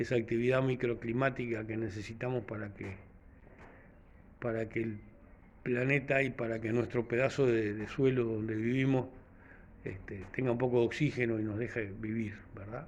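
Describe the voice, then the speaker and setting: Speaking at a moderate pace with long, frequent pauses, a man keeps a medium pitch and a monotone, flat intonation. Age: 60s. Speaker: vlogger. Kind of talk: casual reflective monologue. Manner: halting, many fillers.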